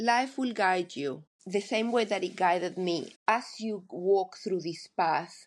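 Against a quiet background, a woman speaks at a very slow pace. Her pitch is medium, with ordinary variation. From Argentina. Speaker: life coach. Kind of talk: interview.

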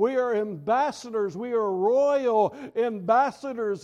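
An extremely high-pitched man's voice with an American accent, ordinary pitch variation and a fairly slow pace. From US South. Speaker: pastor. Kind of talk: sermon.

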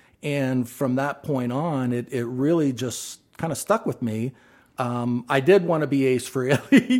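A plain, everyday voice moves at a fairly slow pace. Its pitch varies in an ordinary way. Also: man, medium pitch for a man. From Ohio, Athens. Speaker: drummer. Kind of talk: casual chat.

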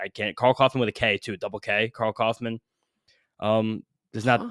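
With a medium pitch and monotone, flat intonation, a man talks at a very fast pace in a dry, close sound with no echo. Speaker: sports podcast co-host. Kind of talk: casual chat. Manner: fast talker.

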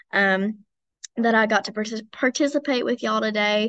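In an Appalachian accent, a woman talks at a fairly quick pace and fairly high pitch, with ordinary pitch variation. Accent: Southern US (Appalachian). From East Tennessee. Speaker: college student leader. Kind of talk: interview.

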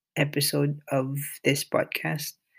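A man with a Filipino accent at a very slow pace. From Philippines. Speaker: nurse and podcaster. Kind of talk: solo monologue, reading a blog excerpt. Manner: halting, hesitant with fillers.

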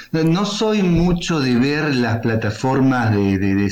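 Speaking at a very slow pace with lively intonation, a man with a medium-pitched voice comes through amid noticeable background noise and audible room echo. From Córdoba, Argentina. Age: 40s. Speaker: writer and rock radio columnist. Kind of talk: interview.

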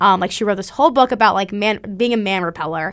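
A woman with an American accent has an unremarkable speaking voice at a medium pitch with ordinary pitch variation. The recording is very clean, with a silent background. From US Midwest, Springfield, Missouri. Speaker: college student. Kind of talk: casual chat.

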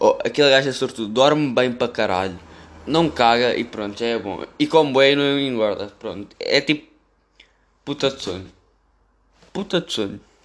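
Long, frequent pauses break up the speech of a man talking at a medium pitch. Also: ordinary pitch variation, moderate pace. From Portugal, Amadora (Lisbon area). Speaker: podcaster. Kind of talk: casual monologue. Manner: rambling, casual slang-heavy.

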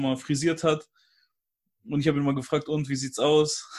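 Over a quiet background, a man with a fairly high pitch talks at a fairly quick pace in a normal speaking voice. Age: 20s. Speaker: guest, YouTuber. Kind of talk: casual chat. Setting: video call.

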